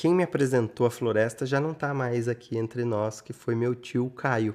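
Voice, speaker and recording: A man speaks at a fairly slow pace with a medium pitch and a dark, mellow tone. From Brazil, São Paulo interior (Rio Claro) from age eight. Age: 40s. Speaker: interviewee. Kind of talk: interview testimony.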